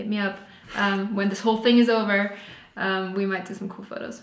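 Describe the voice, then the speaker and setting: A woman talks at a fairly quick pace with monotone, flat intonation, with light background noise and audible room echo. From Austria. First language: German. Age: 20s. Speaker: vlogger. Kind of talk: casual chat. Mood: relaxed, cheerful. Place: home room.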